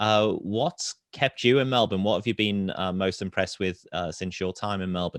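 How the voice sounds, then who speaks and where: With hardly any pauses, a man talks in a fairly low pitch with ordinary pitch variation, recorded with a dry, close sound and no echo. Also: moderate pace. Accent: British. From UK. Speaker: webinar moderator. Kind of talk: webinar panel discussion.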